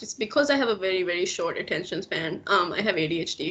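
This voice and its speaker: Over noticeable background noise, a woman talks with very wide swings in pitch. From Maldives. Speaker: illustrator. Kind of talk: casual chat.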